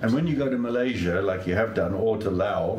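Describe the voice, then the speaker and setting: Noticeable background noise accompanies this man. He moves at a moderate pace with ordinary pitch variation. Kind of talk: casual interview questions.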